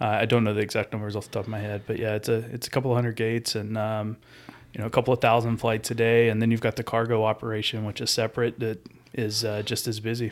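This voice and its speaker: Talking at a very fast pace in a Southern US accent, a man keeps a medium pitch with monotone, flat intonation. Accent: Southern US (Georgia). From US South, rural Georgia. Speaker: airport construction project manager. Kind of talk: casual chat.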